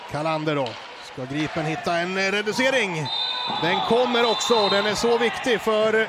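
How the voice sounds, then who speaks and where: A man with a high pitch talks at a fairly slow pace and lively intonation. There is noticeable background noise. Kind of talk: live sports commentary on bandy highlights.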